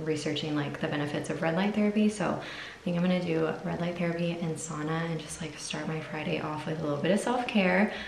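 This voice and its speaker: A woman with a fairly low pitch keeps her intonation fairly even. Audible room echo and light background noise surround her. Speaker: mom vlogger. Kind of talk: casual vlog chat. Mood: relaxed, cheerful morning chat. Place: bathroom. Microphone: phone near.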